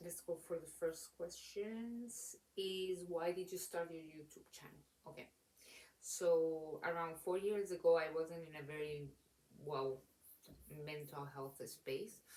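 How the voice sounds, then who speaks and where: A woman speaks very slowly with a non-native accent. Her fairly low voice has a dark, mellow tone and ordinary pitch variation. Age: late 20s. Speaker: book reviewer. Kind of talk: casual talk to camera. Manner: rambling, hesitant.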